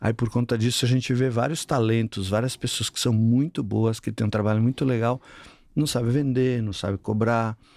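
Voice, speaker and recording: A man with an ordinary speaking voice talks at medium pitch and a moderate pace with fairly even intonation, in a dry, close sound with no echo and a very clean recording, silent background. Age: 60s. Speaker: sales consultant for gyms. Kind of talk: podcast interview.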